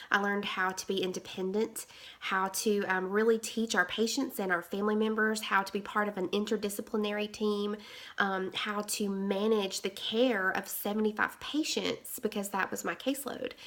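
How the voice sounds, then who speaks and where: Intonation stays monotone and flat. The pace is moderate. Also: woman, medium pitch for a woman. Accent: Southern US. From Alabama. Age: 30s. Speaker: nurse. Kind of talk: interview. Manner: halting.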